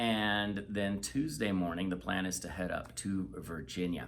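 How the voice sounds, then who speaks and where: Audible room echo surrounds a man speaking at a fairly slow pace with a very deep, low pitch. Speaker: missionary. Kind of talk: casual chat.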